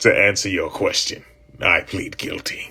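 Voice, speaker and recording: Raspy and put-on, the voice is a man's character act. The pace is moderate. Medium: audio drama. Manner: defiant, grim.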